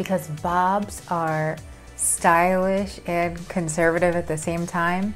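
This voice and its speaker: Faint music sits in the background while a woman talks at a very slow pace. Her fairly low voice holds a monotone, flat intonation. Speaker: actress; creator planning a video. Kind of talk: casual talk to camera. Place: home room. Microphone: phone near.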